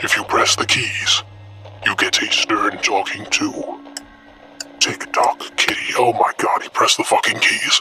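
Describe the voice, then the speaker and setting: A man puts on a character voice at an extremely high pitch. He speaks at a fairly slow pace with faint music in the background. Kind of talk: comedy meme dub.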